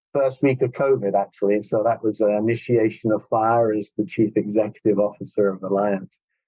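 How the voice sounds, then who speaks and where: A man with an English accent talks at a fairly quick pace in a fairly low pitch, with a dark, mellow tone, fairly even intonation, very even loudness and hardly any pauses. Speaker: healthcare company CEO, physiotherapist. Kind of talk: podcast interview.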